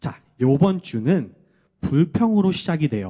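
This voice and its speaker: A man's fairly high voice has a dark, mellow tone and very wide pitch swings. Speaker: children's ministry preacher. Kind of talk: children's sermon.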